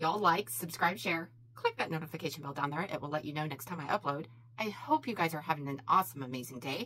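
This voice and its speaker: Speaking at a very fast pace, a woman talks with a fairly low pitch. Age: 40s. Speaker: beauty YouTuber. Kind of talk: casual vlog monologue while doing makeup. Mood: opinionated, a bit heated. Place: home room.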